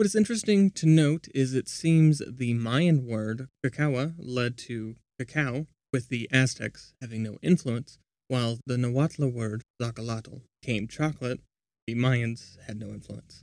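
An ordinary speaking voice moves at a fairly slow pace with ordinary pitch variation, in a dry, close sound with no echo. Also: man, medium pitch for a man. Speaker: podcast host. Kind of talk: history documentary narration, scripted and read aloud. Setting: recorded while traveling abroad. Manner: even, measured, informative.

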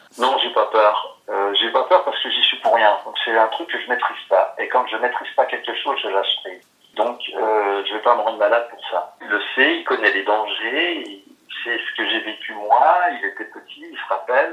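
A man speaks at a moderate pace with big swings in loudness. Noticeable background noise runs underneath. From France, Lorraine. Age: 60s. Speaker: recovering gambling addict. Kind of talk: testimony. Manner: halting, many hesitations and repetitions.

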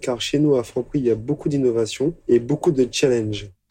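Dark and mellow in tone, a man's voice holds a medium pitch with fairly even intonation. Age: 30s. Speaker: convenience store manager. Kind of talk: interview testimony. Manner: hesitant with fillers.

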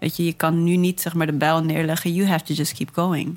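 Music in the background behind a woman's fairly low, monotone, flat voice at a moderate pace. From Groningen, Netherlands. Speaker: musician. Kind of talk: casual interview chat.

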